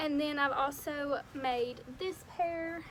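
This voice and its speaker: Against noticeable background noise, a woman speaks in a high voice with fairly even intonation. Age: young. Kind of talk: casual DIY tutorial talk to camera.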